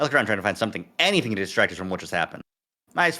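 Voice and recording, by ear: Someone reads aloud in a natural voice with lively intonation against a quiet background.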